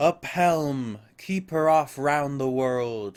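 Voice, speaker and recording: A man bellows in a put-on character voice, pitched fairly high and delivered at a very slow pace. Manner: roaring, commanding.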